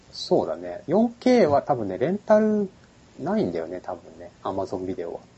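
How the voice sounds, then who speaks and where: The speaker is a man at a moderate pace. His loudness swings widely. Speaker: podcast host. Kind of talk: casual chat.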